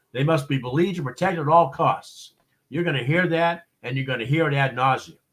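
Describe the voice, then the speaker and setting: An American accent with ordinary pitch variation. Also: man. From Boston, US. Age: 60s. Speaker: expert witness and consultant. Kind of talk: interview on live show. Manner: hesitant, many fillers and repeats.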